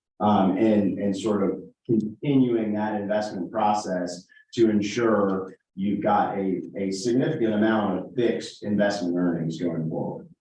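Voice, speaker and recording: At a fairly slow pace and with ordinary pitch variation, the speech carries audible room echo. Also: man, fairly low pitch for a man. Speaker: financial advisor presenting investments. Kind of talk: presentation to a town board.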